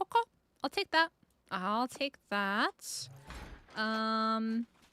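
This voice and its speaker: In a dry, close sound with no echo, a woman with a bright, sharp tone and a fairly high pitch talks at a very slow pace with lively intonation. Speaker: gaming streamer. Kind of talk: live gameplay stream chat. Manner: casual, rambling with fillers.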